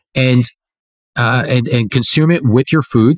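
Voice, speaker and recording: An ordinary speaking voice at a moderate pace with ordinary pitch variation, in a very clean recording with a silent background and a dry, close sound with no echo. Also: man. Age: 30s. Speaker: entrepreneur and longevity researcher. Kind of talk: interview.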